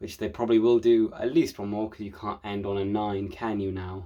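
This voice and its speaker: Against a quiet background, a man with a fairly low pitch and a dark, mellow tone talks at a fairly quick pace with fairly even intonation. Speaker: film reviewer. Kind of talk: casual film review monologue. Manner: fast.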